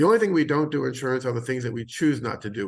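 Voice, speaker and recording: Against a quiet background, a voice with vocal fry races along at a very fast pace with ordinary pitch variation. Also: man. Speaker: insurance agent. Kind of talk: webinar presentation. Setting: video call from home.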